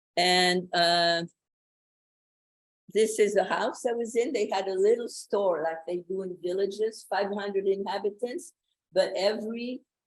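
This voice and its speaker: A woman with a French accent, medium in pitch, at a fairly slow pace. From France. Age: 80s+. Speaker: Holocaust survivor, retired professor. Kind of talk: testimony. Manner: halting.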